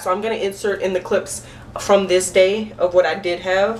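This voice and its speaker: With noticeable background noise behind her, a woman talks at a moderate pace in a medium pitch with fairly even intonation. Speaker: vlogger. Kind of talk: storytime vlog.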